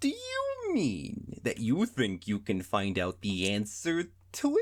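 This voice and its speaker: A man uses a put-on character voice and delivers it at a fairly slow pace. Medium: read story.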